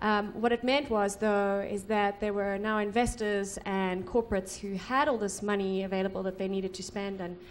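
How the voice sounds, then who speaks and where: Heard with audible room echo, a woman speaks at a fairly quick pace in a monotone, flat intonation. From South Africa. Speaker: social investment consultant. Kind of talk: conference presentation.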